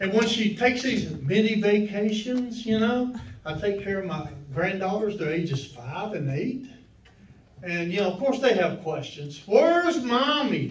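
Over music in the background and with audible room echo, a man speaks at a fairly slow pace with very wide pitch swings. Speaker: open mic comedian. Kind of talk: stand-up comedy routine. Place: stage.

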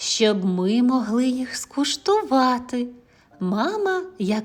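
A plain read-aloud delivery

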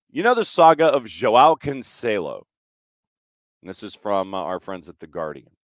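At a moderate pace and medium pitch, a man speaks with very wide pitch swings, big shifts in loudness and long, frequent pauses, in a dry, close recording with no echo, very clean and silent behind him. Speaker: sports radio show host. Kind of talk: casual chat. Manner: talkative.

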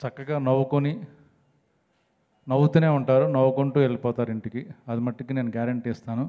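A man talks in a dark, mellow tone with fairly even intonation. The background is quiet. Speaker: film actor. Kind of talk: humorous speech at a film trailer launch event. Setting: stage microphone at press event. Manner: joking, playful. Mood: joking, light humorous. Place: stage. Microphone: handheld.

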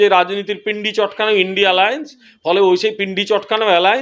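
Here a man talks in a high pitch. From West Bengal, Dakshin Medinipur near Odisha border. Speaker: politician. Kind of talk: interview.

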